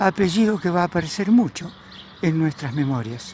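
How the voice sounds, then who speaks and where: Against noticeable background noise, a man with a high pitch speaks at a moderate pace, his pitch swinging very widely. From Argentina, Buenos Aires province (Carmen de Areco). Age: 70s. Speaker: local historian narrating memories. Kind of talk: narrated video tour. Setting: outdoors, riding a bicycle. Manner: conversational, relaxed.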